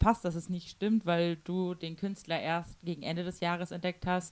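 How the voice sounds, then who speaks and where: Her pace is moderate. The woman's pitch sits fairly low. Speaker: podcast co-host. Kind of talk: casual chat.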